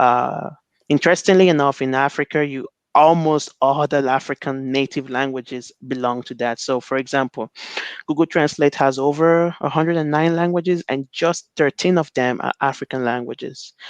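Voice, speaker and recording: A fairly high-pitched male voice with a Nigerian accent, fairly even intonation and a moderate pace, in a dry, close sound with no echo. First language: Igbo. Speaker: NLP researcher. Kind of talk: conference talk. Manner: halting, many fillers and repetitions.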